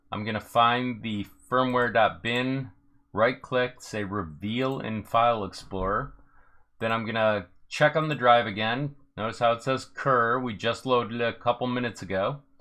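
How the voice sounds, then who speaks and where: Pitched in the medium range, a man speaks in a bright, sharp tone. His pace is moderate and his intonation fairly even. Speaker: 3D printing tech YouTuber. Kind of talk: live tutorial Q&A stream. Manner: casual, step-by-step.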